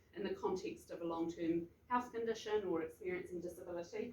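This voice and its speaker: A woman with a New Zealand accent. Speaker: health researcher. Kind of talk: presentation at research forum. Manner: fast.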